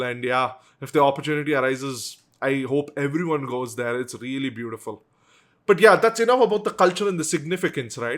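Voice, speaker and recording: In a South Indian accent, a man talks at a fairly quick pace with lively intonation and a fairly high pitch, on a very clean recording with a silent background. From South India, Bangalore. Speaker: YouTuber. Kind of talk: casual vlog commentary. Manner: conversational with frequent fillers and restarts.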